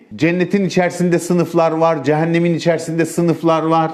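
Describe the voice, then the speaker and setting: Fairly high pitch from a man, with audible room echo. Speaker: preacher. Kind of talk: sermon.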